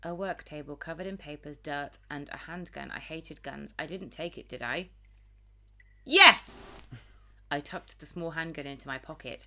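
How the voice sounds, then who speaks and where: Speaking in a British accent at a very deep, low pitch, a woman has a bright, sharp tone, a moderate pace, ordinary pitch variation and big swings in loudness. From Britain. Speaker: video game streamer. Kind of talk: reading game text aloud during a let's play.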